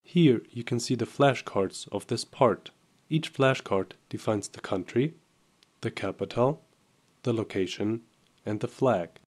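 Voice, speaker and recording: Speaking at medium pitch and a fairly slow pace, a man uses ordinary pitch variation, with long, frequent pauses and big swings in loudness. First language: German. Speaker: software tutorial presenter. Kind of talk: tutorial.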